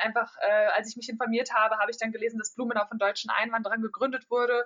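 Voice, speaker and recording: Very fast in pace, a woman talks at a fairly high pitch. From Germany. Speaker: psychology student, exchange student. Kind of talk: interview.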